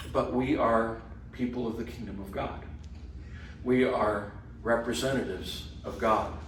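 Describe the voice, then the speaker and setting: A man's medium-pitched, monotone voice with flat intonation, at a fairly slow pace with long, frequent pauses, noticeable background noise, and audible room echo. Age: 60s. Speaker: Bible study teacher. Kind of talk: class discussion. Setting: church hall class.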